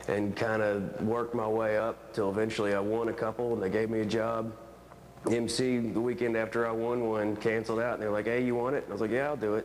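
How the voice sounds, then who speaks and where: A man in an Appalachian accent, medium pitch, monotone, flat intonation, very even loudness and a very fast pace over noticeable background noise. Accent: Appalachian, Fayette County West Virginia. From West Virginia. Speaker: stand-up comedian. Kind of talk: TV news interview answer.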